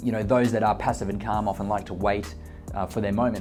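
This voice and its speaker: A man talking at a very fast pace over music in the background. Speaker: real estate agent and auctioneer. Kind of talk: casual talk to camera, explaining auction bidding tips.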